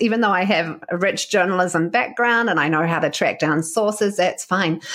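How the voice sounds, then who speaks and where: A woman talks at moderate speed and medium pitch, with her pitch varying an ordinary amount. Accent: New Zealand. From New Zealand. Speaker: podcast host and communications coach. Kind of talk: interview.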